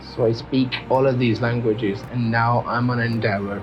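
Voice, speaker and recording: A man at medium pitch and moderate pace, with fairly even intonation, audible room echo, and music in the background. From Pakistan. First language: Urdu and Punjabi. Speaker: language teacher. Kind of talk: tutorial. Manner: hesitant, with fillers and restarts.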